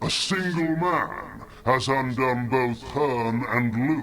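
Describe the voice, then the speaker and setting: A man puts on a character voice at a medium pitch. He talks at a very slow pace over light background noise. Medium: video game. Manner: solemn, grave.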